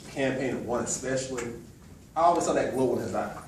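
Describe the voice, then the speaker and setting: A man with an American accent speaks at a medium pitch for a man. Noticeable background noise and audible room echo surround him. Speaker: motivational speaker. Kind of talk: motivational speech. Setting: farewell party, audience, no microphone. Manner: loud.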